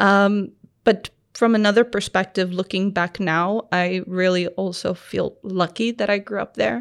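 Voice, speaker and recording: In an ordinary speaking voice, a woman speaks at a medium pitch and a fairly slow pace. Her intonation is fairly even against a quiet background. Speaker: startup founder and designer. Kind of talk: casual interview.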